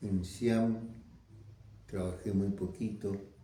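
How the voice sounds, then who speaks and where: The voice is somewhat breathy, with a dark, mellow tone. Audible room echo surrounds it. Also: man. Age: 90s. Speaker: veteran communist activist. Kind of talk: interview testimony. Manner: halting.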